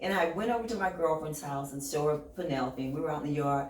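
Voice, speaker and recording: A woman speaks in an American accent with very wide pitch swings. Room echo is audible, along with noticeable background noise. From California (Compton). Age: 60s. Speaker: fitness model and real estate advisor. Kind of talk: casual interview chat. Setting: podcast. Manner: animated.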